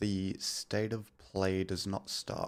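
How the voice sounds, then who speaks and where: A soft-spoken voice with an Australian accent. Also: man. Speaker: gaming streamer. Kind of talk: casual live stream chat. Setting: home stream, partner sleeping nearby.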